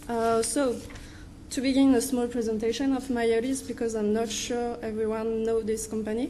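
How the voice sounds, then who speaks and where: In a French accent, a woman speaks at a moderate pace with a fairly high pitch. Her intonation is monotone and flat, and the room echo is audible. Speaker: wind energy researcher. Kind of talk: conference presentation. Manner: halting.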